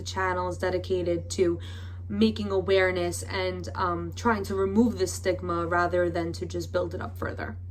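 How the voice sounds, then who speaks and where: A woman speaks at a very deep, low pitch with monotone, flat intonation. Audible room echo surrounds her voice. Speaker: YouTuber. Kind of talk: commentary vlog. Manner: hesitant, with fillers.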